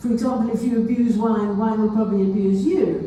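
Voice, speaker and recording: Her pace stays moderate as the woman talks. Noticeable background noise and audible room echo accompany the recording. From South Africa. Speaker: wine lecturer. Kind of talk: lecture. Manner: animated.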